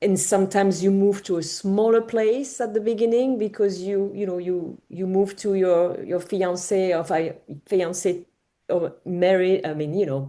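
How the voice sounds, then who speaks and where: With a French accent, a woman talks at a moderate pace in a medium pitch. Her tone is dark and mellow, the intonation fairly even. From France. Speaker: home organizer. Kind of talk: panel talk. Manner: halting.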